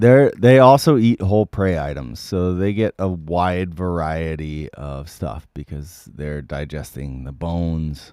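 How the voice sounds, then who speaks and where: At a fairly slow pace, a man with a very deep, low pitch and a dark, mellow tone speaks with lively intonation and big swings in loudness. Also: hardly any pauses. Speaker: musician and livestream host. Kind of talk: casual chat.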